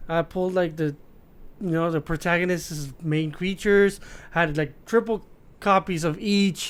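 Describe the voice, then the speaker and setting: A man's high-pitched voice with a Spanish accent, at a fairly slow pace. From Mexico, Tijuana. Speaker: podcast co-host. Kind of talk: casual chat. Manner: animated.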